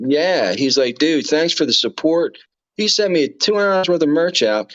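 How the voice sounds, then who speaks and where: Speaking in a Texas accent, a man with a fairly high voice keeps a moderate pace, lively intonation and very even loudness. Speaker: live streamer. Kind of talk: casual chat.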